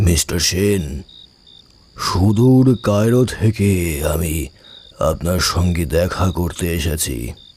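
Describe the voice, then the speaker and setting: In a put-on character voice, a man speaks with a very deep, low pitch and lively intonation. His pace is very slow. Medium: audio drama. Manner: slow, deliberate.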